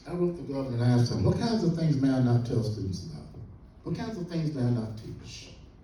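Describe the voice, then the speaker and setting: Against noticeable background noise, a man with an American accent talks at a very fast pace and medium pitch, with very wide pitch swings. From Central Florida, Volusia County. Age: 80s+. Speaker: historian and professor. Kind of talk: lecture. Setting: classroom lecture to students. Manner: animated.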